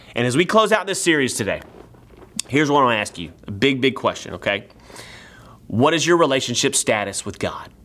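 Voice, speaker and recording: Animated and fairly quick, a man talks with a Texan accent and very wide pitch swings. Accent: Texan American. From East Texas. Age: 30s. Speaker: pastor. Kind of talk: sermon.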